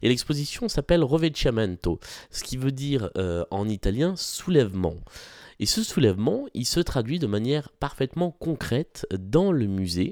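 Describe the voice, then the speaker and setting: A man talks slowly-ish, at a medium pitch, with a slight southwestern French accent. His pitch swings very widely, and the sound is dry and close with no echo. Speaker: podcast host, art commentator. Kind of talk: solo podcast talk about exhibitions. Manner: frequent hesitations (euh).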